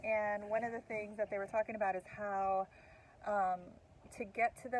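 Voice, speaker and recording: A woman with an ordinary speaking voice at a medium pitch, with fairly even intonation, at a moderate pace. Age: middle-aged. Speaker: podcast co-host. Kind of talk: casual chat.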